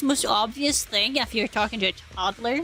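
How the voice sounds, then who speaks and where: With noticeable background noise behind her, a woman talks at a moderate pace in a high pitch with ordinary variation. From Norway. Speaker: gaming streamer. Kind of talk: casual chat.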